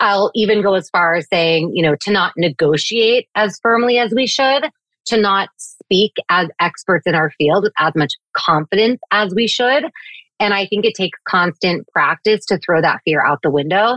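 A woman with a normal speaking voice talks at a medium pitch and a moderate pace. Her intonation is lively and her loudness very even. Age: 30s. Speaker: communications executive. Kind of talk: interview.

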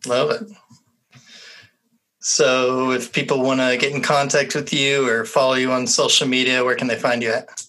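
A man with an unremarkable speaking voice at medium pitch, fairly even intonation, and moderate pace. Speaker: podcast co-host. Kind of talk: casual chat.

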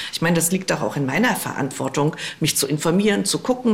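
A woman at a very fast pace with lively intonation, over noticeable background noise. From eastern Germany. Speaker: politician. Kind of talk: interview. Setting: remote call from office.

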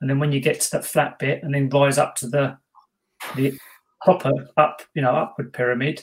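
A man with a fairly high pitch, somewhat breathy, at a fairly quick pace with fairly even intonation. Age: 50s. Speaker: ghost hunter, podcast co-host. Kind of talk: casual chat.

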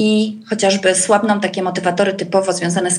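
A woman speaks at a very fast pace. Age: 40s. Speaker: coach and trainer. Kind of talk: podcast interview. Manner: hesitant, many fillers.

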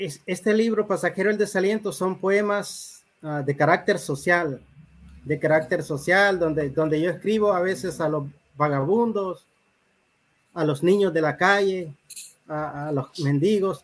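A man speaks in a high voice at a fairly slow pace. He leaves long pauses, and they come often. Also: ordinary pitch variation. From Honduras, Talanga (Francisco Morazán). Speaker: poet and writer. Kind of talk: interview.

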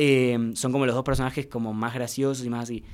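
A man speaks very fast in a Rioplatense accent at a medium pitch. The recording is very clean with a silent background. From Argentina, Mar del Plata. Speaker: youtuber and actor. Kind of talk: casual interview.

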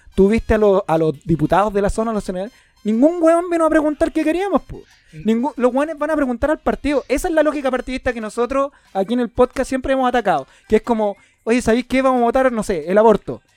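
Talking at a very fast pace, a man with an extremely high pitch uses lively intonation, the sound dry and close with no echo. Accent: Chilean. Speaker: podcast host. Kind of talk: casual chat. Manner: animated.

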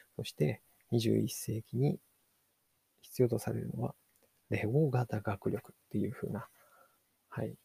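Dark and mellow with vocal fry, a man at a fairly low pitch talks at a fairly slow pace with long, frequent pauses, big swings in loudness and ordinary pitch variation, in a dry, close sound with no echo. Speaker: podcast host, digital marketer. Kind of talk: solo book review podcast. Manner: halting, many fillers.

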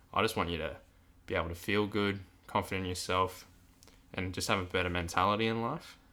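Talking at a fairly quick pace in an Australian accent, a man has a very deep, low pitch and a bright, sharp tone. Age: 20s. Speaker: podcast host, high school coach. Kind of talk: casual chat. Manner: halting.

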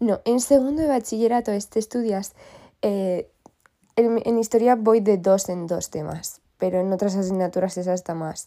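A woman speaks at a moderate pace in a medium pitch, with ordinary pitch variation and a dark, mellow tone. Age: young. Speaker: podcast host. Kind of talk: casual monologue. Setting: bedroom in the countryside.

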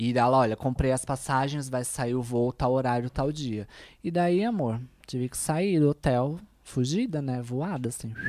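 On a very clean recording with a silent background, a woman with a very deep, low pitch and a dark, mellow tone speaks at a moderate pace with ordinary pitch variation. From Brazil, São Paulo (east side). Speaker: influencer, make-up artist and chef. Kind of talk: casual chat. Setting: studio, streamed live.

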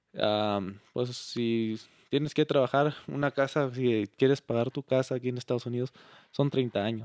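A man with a plain, everyday voice speaks at a fairly slow pace and a medium pitch, his intonation fairly even. The sound is dry and close with no echo, on a very clean recording with a silent background. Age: 20s. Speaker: charro, business owner. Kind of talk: interview.

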